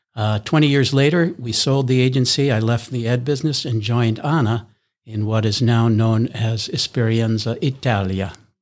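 A plain, everyday voice from a man with an American accent, medium pitch, ordinary pitch variation and a moderate pace. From US East Coast. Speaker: non-profit co-founder, former ad executive. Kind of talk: interview.

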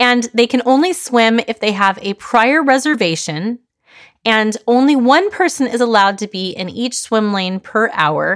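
An ordinary speaking voice from a woman, fairly high in pitch with lively intonation at a moderate pace, on a very clean recording with a silent background. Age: 40s. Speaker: life coach and podcast host. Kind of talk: solo monologue podcast, storytelling.

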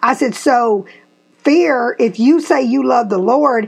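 A woman with a Tennessee accent, high-pitched and animated, with very wide pitch swings at a fairly slow pace. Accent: US Southern (Tennessee). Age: 50s. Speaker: podcast host and real estate agent. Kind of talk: casual chat.

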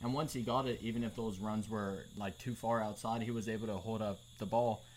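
A man with a plain, everyday voice talks at a moderate pace and medium pitch. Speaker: podcast co-host. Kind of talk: casual banter podcast chat.

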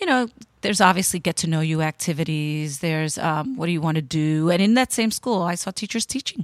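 With lively intonation and a fairly quick pace, a woman speaks in an ordinary speaking voice at a fairly low pitch, the sound dry and close with no echo. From New York, Dominican-American. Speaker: state education commissioner. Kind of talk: interview.

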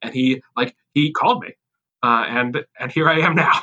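Speaking with an American accent, the voice comes across with a bright, sharp tone. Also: man. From Massachusetts, US. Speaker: rabbi and camp chaplain. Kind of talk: interview conversation. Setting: remote call from home office. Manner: halting, many fillers and repeats.

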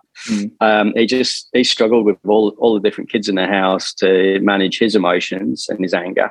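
With an Australian accent, a man speaks at a fairly quick pace and a fairly low pitch, with fairly even intonation and hardly any pauses. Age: 40s. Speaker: interview guest sharing life story. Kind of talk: personal testimony in interview. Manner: halting, many fillers.

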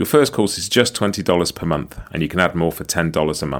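A man with a very deep, low pitch talks at a fairly quick pace, his intonation lively and his voice edged with vocal fry. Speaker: podcast host. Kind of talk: interview, podcast chat.

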